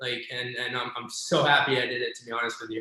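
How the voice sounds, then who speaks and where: A man speaks at a fairly quick pace with a medium pitch. Audible room echo surrounds his voice. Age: 30s. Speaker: real estate agent and investor. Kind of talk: casual interview chat.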